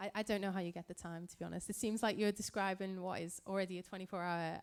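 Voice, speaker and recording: In a Liverpool accent, a woman speaks at a fairly low pitch with monotone, flat intonation. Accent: Scouse. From Liverpool, England. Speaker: physicist and event moderator. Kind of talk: Q&A interview.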